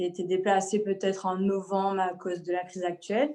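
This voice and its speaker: In a dark, mellow tone, a woman talks fairly slowly at a medium pitch with monotone, flat intonation against a quiet background. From Martinique. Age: 30s. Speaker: painter. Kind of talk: interview. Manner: halting.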